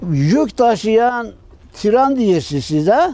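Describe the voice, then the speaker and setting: A man with an Ahiska accent speaks at a very slow pace in an extremely high pitch with lively intonation, the sound dry with no echo. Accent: Ahiska Turkish dialect. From Ahiska (Meskhetian Turk). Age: old. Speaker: deportation survivor. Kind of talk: interview answer, personal testimony. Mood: sorrowful, grateful remembrance. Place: open country.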